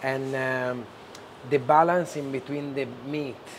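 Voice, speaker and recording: A man's medium-pitched voice in a strong Italian accent, fairly slow and fairly even in intonation, with noticeable background noise and audible room echo. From Genoa, Italy. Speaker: chef and restaurant owner. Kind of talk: cooking demonstration.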